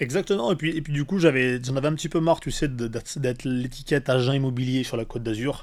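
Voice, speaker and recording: A man with a medium pitch and ordinary pitch variation speaks at a very fast pace with hardly any pauses. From Valence, Drôme, southeastern France. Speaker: real estate agent. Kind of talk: podcast interview. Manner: animated.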